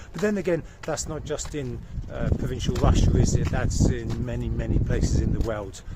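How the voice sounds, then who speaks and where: Someone speaks with a British accent at a moderate pace. There is audible room echo and noticeable background noise. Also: man. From Britain. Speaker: vlogger. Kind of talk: casual vlog talk. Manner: hesitant, many fillers.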